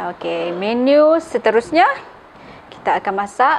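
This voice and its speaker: A woman speaks at a very slow pace with lively intonation over light background noise. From Sabah, Malaysia. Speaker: cooking channel host. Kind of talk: cooking tutorial. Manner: casual, frequent fillers like okey. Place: kitchen.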